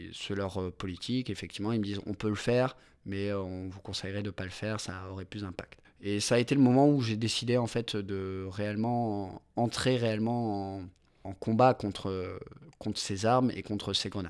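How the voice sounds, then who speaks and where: A man's fairly low voice holds a fairly even intonation as he talks at a moderate pace. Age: 20s. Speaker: injured protester. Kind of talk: testimony. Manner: halting.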